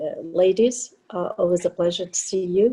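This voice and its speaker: At a fairly slow pace, a woman with a Portuguese accent speaks at a medium pitch with ordinary pitch variation. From Portugal, raised in France. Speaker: union local president. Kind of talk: panel introduction on webinar.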